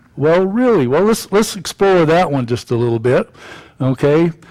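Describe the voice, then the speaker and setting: A man speaks with a quiet background. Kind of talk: sermon. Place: church. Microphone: podium.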